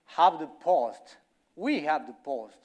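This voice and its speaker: A man with a Colombian accent speaks very slowly, his pitch swinging very widely, on a very clean recording with a silent background. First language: Spanish. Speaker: company representative speaker. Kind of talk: conference talk.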